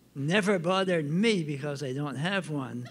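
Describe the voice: Speaking with an Acadian accent, a man talks at a fairly slow pace in a fairly high voice. His pitch varies in an ordinary way, and room echo is audible. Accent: Acadian French Canadian.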